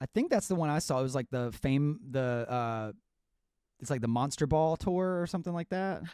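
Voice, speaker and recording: A normal speaking voice, a man's fairly high pitch, lively intonation and moderate pace on a very clean recording with a silent background. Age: 20s. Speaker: podcast host and musician. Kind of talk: casual chat.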